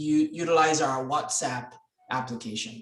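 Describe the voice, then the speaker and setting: A man's fairly high voice at a fairly slow pace, with audible room echo. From Dominica. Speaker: club president. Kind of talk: meeting hosting.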